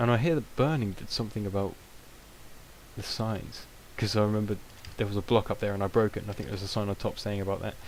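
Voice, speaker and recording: With a British accent and a fairly low pitch, a man talks at a very fast pace broken by long, frequent pauses, on a very clean recording with a silent background. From Britain. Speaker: gaming video creator. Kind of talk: gameplay commentary. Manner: hesitant, many fillers.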